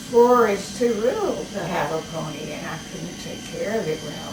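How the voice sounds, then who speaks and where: A woman with a Texan accent speaks at a fairly high pitch, with audible room echo and noticeable background noise. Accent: Texan Southern US. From Texas, Galveston. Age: 90s. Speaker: great-grandmother. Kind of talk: family interview, reminiscing. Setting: at home.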